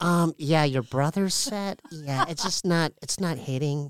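The sound is dry and close with no echo as a man talks at a moderate pace with lively intonation. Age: 40s. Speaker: comedian. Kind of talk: casual chat. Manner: halting.

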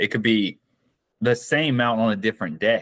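At a moderate pace, a man talks with a dry, close sound and no echo. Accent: Southern US. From US South, South Carolina. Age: 30s. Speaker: endurance athlete and business owner. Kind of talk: interview.

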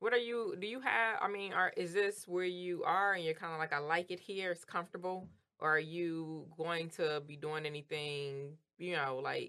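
A woman with a fairly low pitch and a bright, sharp tone speaks at a moderate pace with ordinary pitch variation. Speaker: podcast host. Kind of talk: casual podcast interview. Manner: laughs often, friendly.

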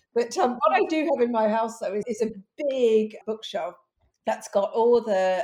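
A woman with a British accent speaks in a dark, mellow tone. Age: 50s. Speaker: author and sex expert. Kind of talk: interview.

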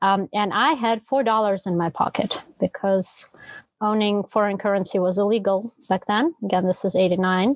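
A woman with a Russian accent talks at a medium pitch with ordinary pitch variation. The sound is dry and close with no echo, and her loudness stays very even. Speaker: novelist. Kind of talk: casual interview conversation.

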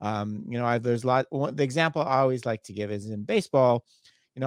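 The sound is dry and close, with no echo and a quiet background. The speech moves at a fairly quick pace. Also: man. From Canada. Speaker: professor. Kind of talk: interview. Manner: halting.

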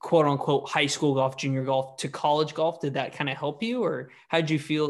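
In a normal speaking voice against a quiet background, a man with a fairly high pitch talks at a moderate pace with fairly even intonation. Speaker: podcast host and golfer. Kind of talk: casual interview.

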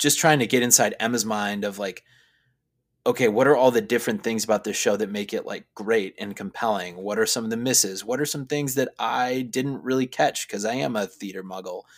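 A man with a plain, everyday voice and an American accent, fairly even intonation, on a very clean recording with a silent background. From US Midwest, Chicago. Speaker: seminary student. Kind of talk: casual chat. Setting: recording in a closet.

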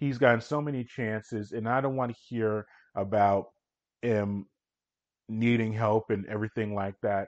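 This is a normal speaking voice with ordinary pitch variation. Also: man. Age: 40s. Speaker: sports podcast host. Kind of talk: solo sports recap.

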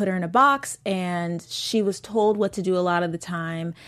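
A woman's medium-pitched voice, a normal speaking voice, at a moderate pace with fairly even intonation. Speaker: after-show host. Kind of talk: casual chat discussing a TV episode.

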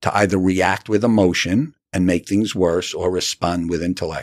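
The voice moves at a moderate pace with ordinary pitch variation. The sound is dry and close with no echo, and the recording is very clean, with a silent background. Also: man. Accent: New York. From New York (Rockland County). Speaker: author. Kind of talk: interview.

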